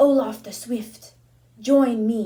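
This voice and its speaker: This woman uses a put-on character voice pitched fairly high. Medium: read story. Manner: commanding.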